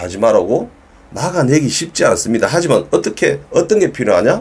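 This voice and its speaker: The speaker has a Gyeongsang accent. The pace is moderate. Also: man. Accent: Gyeongsang dialect, sounds somewhat stiff. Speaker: dog trainer. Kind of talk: educational talk to camera. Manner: firm, emphatic.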